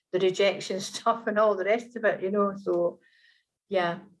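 A woman speaks with a Scottish accent at a moderate pace. Her intonation is monotone and flat. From rural Scotland. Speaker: author, adoptee. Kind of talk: personal testimony interview. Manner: hesitant, many fillers.

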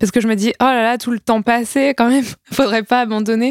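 Recorded very cleanly against a silent background, a woman speaks in a plain, everyday voice with a dry, close sound and no echo. Her pace is fairly quick and her intonation fairly even. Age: 20s. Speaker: comic book author. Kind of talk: casual chat.

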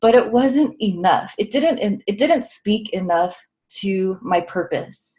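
In an American accent, a woman talks at a very slow pace with lively intonation and a somewhat breathy sound. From Southern California. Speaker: autoimmune wellness coach and researcher. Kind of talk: casual interview.

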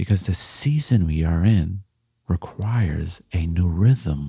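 On a very clean recording with a silent background, a man speaks with a very deep, low pitch, a dark, mellow tone, somewhat breathy delivery, and ordinary pitch variation. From Canada, Jamaican heritage. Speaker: motivational speaker. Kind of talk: motivational monologue. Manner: reflective, conversational.

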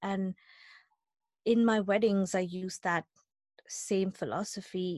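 In a dry, close recording with no echo, a woman speaks at a medium pitch. She goes very slowly in a flat monotone, with long, frequent pauses. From India. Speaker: business owner, wedding photographer. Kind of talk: interview testimony. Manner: hesitant with fillers.

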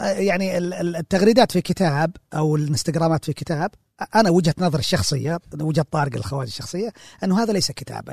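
A man with a normal speaking voice talks at a fairly quick pace, his pitch fairly high and his intonation lively. The sound is dry and close with no echo, over a quiet background. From Saudi Arabia, Jazan region. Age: 40s. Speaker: librarian and film critic. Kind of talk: casual interview. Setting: library.

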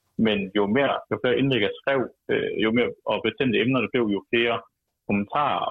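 The pace is medium. The voice belongs to a man. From Denmark, Vejle. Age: 20s. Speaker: political activist and columnist. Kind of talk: radio interview. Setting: phone call.

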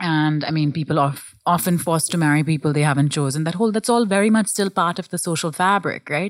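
In an American accent, the speaker goes at a very fast pace with hardly any pauses and ordinary pitch variation, on a very clean recording with a silent background. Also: woman, fairly low pitch for a woman. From India (Goa, Bangalore), schooled in US. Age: 30s. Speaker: sex educator and content creator. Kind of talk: interview.

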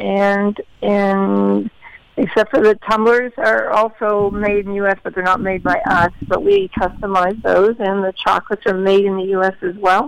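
Using an ordinary speaking voice, a woman talks at a fairly slow pace in a medium pitch with fairly even intonation. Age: 50s. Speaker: heart disease advocate and entrepreneur. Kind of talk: interview.

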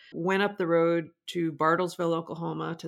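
Someone with an American accent speaks at a moderate pace over a quiet background. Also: woman. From Nebraska, US Midwest. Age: 50s. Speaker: historian and author. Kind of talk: interview. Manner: halting, frequent repetitions.

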